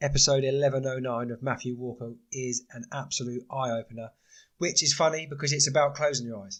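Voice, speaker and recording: A man speaks at a medium pitch. His pace is fairly quick and his intonation fairly even. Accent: British. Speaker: podcast host. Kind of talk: casual solo podcast talk. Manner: hesitant, many fillers.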